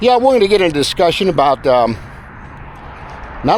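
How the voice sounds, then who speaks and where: A man with noticeable background noise. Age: 70s. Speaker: retiree giving senior lifestyle advice. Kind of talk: casual talk to camera while walking. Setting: outdoors.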